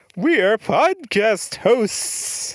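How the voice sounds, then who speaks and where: A put-on character voice with a fairly high pitch. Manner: spooky, eerie.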